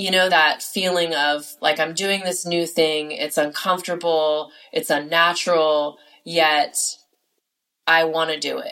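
With monotone, flat intonation, a woman speaks at a fairly low pitch and a fairly slow pace. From California. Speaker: podcast host and life coach. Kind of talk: solo monologue.

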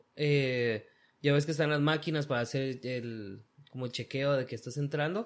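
A man with an unremarkable speaking voice talks at a moderate pace and a fairly high pitch, with ordinary pitch variation. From Guatemala. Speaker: construction worker. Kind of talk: casual chat. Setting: at the guest's home.

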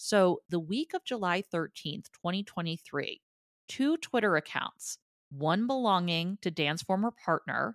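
In a New Jersey accent, the speaker talks at a fairly slow pace with lively intonation, captured in a dry, close sound with no echo on a very clean recording with a silent background. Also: woman. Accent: mild New Jersey. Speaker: podcast co-host. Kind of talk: casual chat.

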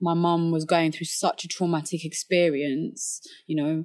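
A woman with a London accent speaks at a moderate pace. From London, England (Somali refugee family). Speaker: professional boxer. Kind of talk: casual interview conversation.

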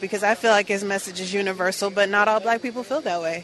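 A woman at a medium pitch, her pitch varying in an ordinary way, speaks over noticeable background noise. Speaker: rally attendee interviewee. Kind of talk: street interview. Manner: hesitant with fillers.

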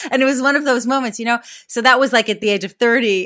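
A woman's bright, sharp voice, fairly high-pitched, with an American accent. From Israel. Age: 40s. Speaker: actress and comedian. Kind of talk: casual chat. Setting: remote interview from northwest London.

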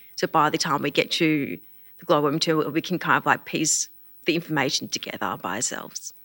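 The speaker talks at a fairly quick pace with an Australian accent and vocal fry. Pitch varies in an ordinary way, and the sound is dry and close with no echo. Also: woman, very deep, low pitch for a woman. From Australia, Melbourne. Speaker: deaf community organization CEO. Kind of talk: casual interview.

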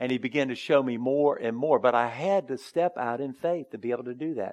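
This man has an unremarkable speaking voice at a medium pitch. He moves at a fairly quick pace with lively intonation. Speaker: pastor. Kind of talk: sermon. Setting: church.

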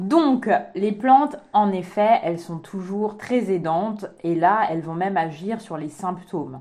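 A woman's dark, mellow voice at medium pitch, very slow, with lively intonation and big swings in loudness. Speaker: naturopath podcast co-host. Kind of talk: casual chat.

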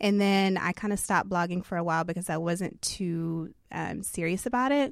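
A woman with an American accent talks in an ordinary speaking voice, medium in pitch with ordinary variation, at a fairly quick pace, on a very clean recording with a silent background. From Texas (Beaumont). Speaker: influencer. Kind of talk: interview conversation.

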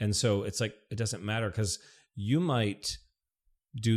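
With a normal speaking voice and an American accent, a man of medium pitch talks at a moderate pace with ordinary pitch variation, on a very clean recording with a silent background. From Michigan (Detroit). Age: 40s. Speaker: hiking blogger and performer. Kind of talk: casual chat.

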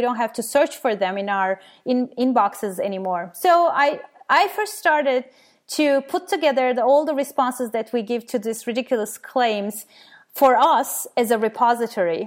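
A woman speaks in a Turkish accent at a high pitch. Her intonation is lively and her pace moderate. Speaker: skeptical blogger and science educator. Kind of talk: interview. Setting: remote call.

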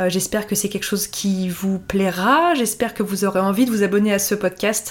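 The intonation stays fairly even. Delivery moves at a moderate pace. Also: woman. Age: 30s. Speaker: blogger and podcast host. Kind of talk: solo podcast monologue. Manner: casual, hesitant with fillers.

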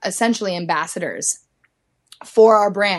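A woman's medium-pitched voice with an American accent and ordinary pitch variation, an ordinary speaking voice. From US Midwest. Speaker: ski team press officer. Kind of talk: interview.

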